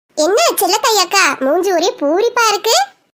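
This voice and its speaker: The voice is cartoonish and squeaky. It moves at a fairly slow pace. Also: woman, extremely high pitch for a woman. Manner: lively, chatty.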